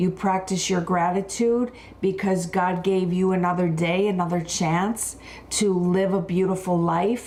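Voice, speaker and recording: This woman has a normal speaking voice at medium pitch. She talks at a moderate pace. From Buffalo, New York. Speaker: wellness and skincare expert. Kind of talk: live wellness talk.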